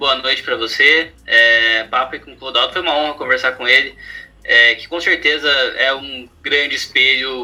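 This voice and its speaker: At a moderate pace, a man talks while noticeable background noise plays behind him. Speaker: podcast host, interviewer. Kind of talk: interview chat on a podcast.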